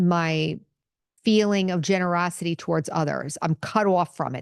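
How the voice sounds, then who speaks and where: In a quiet background with dry, close sound and no echo, a woman speaks in a normal speaking voice, fairly low in pitch with ordinary pitch variation. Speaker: podcast host and meditation teacher. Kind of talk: spiritual teaching talk. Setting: podcast recording.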